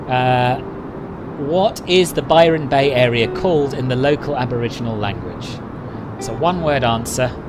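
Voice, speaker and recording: A man with a London accent, medium pitch and ordinary pitch variation, at a moderate pace with long, frequent pauses, amid audible room echo and noticeable background noise. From London, England. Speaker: flight sim streamer. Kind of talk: live stream chat. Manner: casual, frequent fillers.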